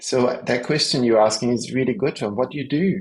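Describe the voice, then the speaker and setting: A man's voice at a medium pitch. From Belgium. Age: 50s. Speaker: osteopath and stress therapist. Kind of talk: podcast interview. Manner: halting, searching for words.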